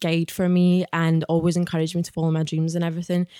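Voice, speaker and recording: The voice has a Glaswegian accent and a dark, mellow tone at a very fast pace. The recording is very clean, with a silent background. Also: woman, dry, close sound with no echo. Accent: Glaswegian Scottish. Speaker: author and spiritual guide. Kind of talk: casual chat. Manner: animated.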